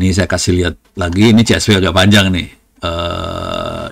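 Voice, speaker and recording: His intonation holds fairly level. The man's voice sits very low and deep. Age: 60s. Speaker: lecturer and IT expert. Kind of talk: technical demo lecture. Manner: casual, informal.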